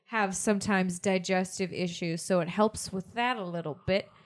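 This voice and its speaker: A woman with a normal speaking voice talks at a moderate pace and medium pitch, her intonation fairly even. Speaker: podcast co-host. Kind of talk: casual chat.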